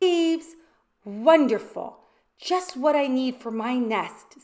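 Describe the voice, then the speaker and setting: A woman puts on a character voice, high-pitched and fairly slow. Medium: read story. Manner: brisk, cheerful.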